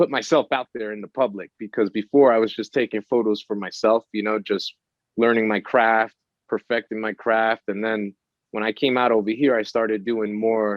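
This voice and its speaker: In a New York accent, a man talks at medium pitch and a moderate pace. His intonation is monotone and flat. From New York, Brooklyn. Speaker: photographer and musician. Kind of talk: casual interview.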